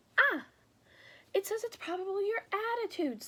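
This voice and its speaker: A woman uses a squeaky, put-on character voice at an extremely high pitch, with a timid tone, lively intonation and a moderate pace. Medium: read story. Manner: timid, stammering.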